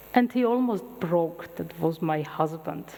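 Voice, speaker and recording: Someone with an Armenian accent speaks at a fairly slow pace, using ordinary pitch variation. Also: woman. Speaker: medical scientist lecturer. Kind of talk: lecture.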